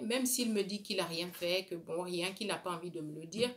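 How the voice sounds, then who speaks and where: A woman with a West African accent, medium in pitch, with ordinary pitch variation. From Burkina Faso, Bobo-Dioulasso. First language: Dioula (speaking French). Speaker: beauty vlogger. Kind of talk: casual chat. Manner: hesitant.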